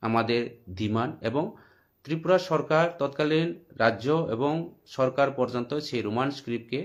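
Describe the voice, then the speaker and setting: Against a quiet background, a man with a medium pitch and ordinary pitch variation speaks in an unremarkable speaking voice. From Tripura, India. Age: 40s. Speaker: political commentator. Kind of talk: political monologue.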